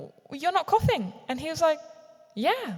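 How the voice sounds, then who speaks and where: This is a woman speaking. She has a London accent. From south London, Streatham. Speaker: acupuncturist. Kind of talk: public talk.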